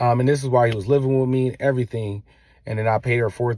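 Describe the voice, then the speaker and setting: The recording is very clean, with a silent background. A man at medium pitch talks at a very fast pace with ordinary pitch variation. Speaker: father vlogger, military veteran. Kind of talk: casual monologue to viewers. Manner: halting.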